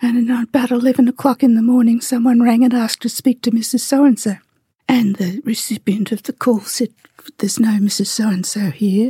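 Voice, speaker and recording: A woman with an Australian accent speaks at a moderate pace, her pitch fairly high. The sound is dry and close with no echo, and her intonation stays fairly even. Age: 80s+. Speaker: activist. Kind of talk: interview.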